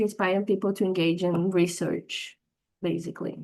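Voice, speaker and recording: A woman speaks in a Portuguese accent with monotone, flat intonation. Her pace is moderate and the background quiet. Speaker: workshop participant, academic content creator. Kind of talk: question in workshop. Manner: halting.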